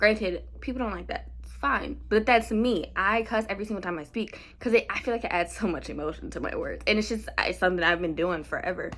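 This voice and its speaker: A woman talks loudly at a very fast pace. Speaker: podcast host. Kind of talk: casual chat.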